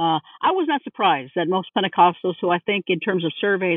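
Speaking at a moderate pace, a woman with a Californian accent has a fairly low voice. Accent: Californian American English. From US West Coast, East Los Angeles. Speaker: religious studies professor. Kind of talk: interview.

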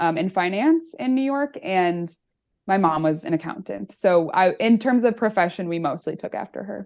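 Against a quiet background, a woman with an ordinary speaking voice talks at a moderate pace and medium pitch with lively intonation. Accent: American. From US Midwest, Chicago northern suburbs. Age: 20s. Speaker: author and accountant. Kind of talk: casual interview chat.

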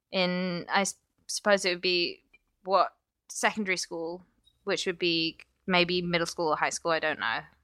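A woman's fairly low, bright, sharp voice in an English accent, at a moderate pace with fairly even intonation and long, frequent pauses, in a dry, close sound with no echo. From England (London). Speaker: comedian. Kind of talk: casual chat.

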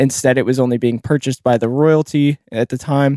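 Fairly quick with fairly even intonation, the voice has a dark, mellow tone on a very clean recording with a silent background. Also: man. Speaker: podcast host. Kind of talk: casual chat. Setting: studio. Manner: stutter.

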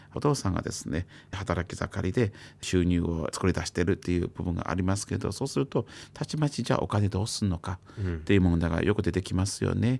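A man with a Chinese accent speaks in a very deep, low voice. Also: very clean recording, silent background. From China. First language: Chinese (speaking Japanese). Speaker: psychiatrist. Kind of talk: radio interview.

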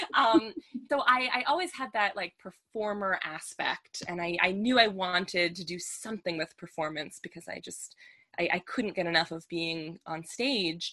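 At a moderate pace, a woman speaks at medium pitch with ordinary pitch variation and big swings in loudness. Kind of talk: casual interview chat.

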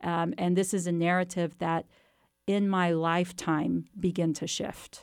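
A woman's fairly low, monotone, flat voice at a fairly slow pace, with an American accent, on a very clean recording with a silent background. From Texas, near Waco. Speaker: history professor and author. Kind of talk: interview.

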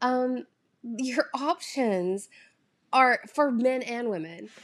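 A high-pitched woman's voice with a Southern US accent. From US South. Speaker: content creator. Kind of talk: casual solo podcast monologue. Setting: home recording at a screen, no proper mic. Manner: rambling, chatty, laughs often.

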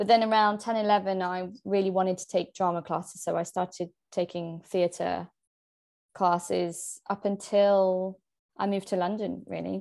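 A woman's medium-pitched voice with a British accent, monotone, flat intonation and a moderate pace. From England and France. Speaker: actress and author. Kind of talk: casual interview chat. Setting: video call from London.

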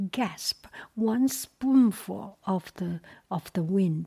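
The intonation rises and falls in a lively way. Someone reads aloud in a natural voice.

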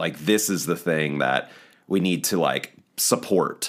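Very deep and low-pitched, this man's voice carries a Mid-Atlantic American accent and ordinary pitch variation. He speaks at a fairly slow pace in a very clean recording with a silent background. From eastern shore of Maryland. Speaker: rock band guitarist. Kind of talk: casual interview.

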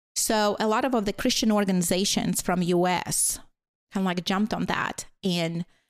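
In a very clean recording with a silent background, a woman with a Latvian accent speaks at a moderate pace and medium pitch, with ordinary pitch variation. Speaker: teacher. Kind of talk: casual interview conversation. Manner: shy.

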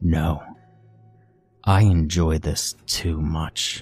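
Faint music plays in the background as a man uses a put-on character voice at a very deep, low pitch. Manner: menacing.

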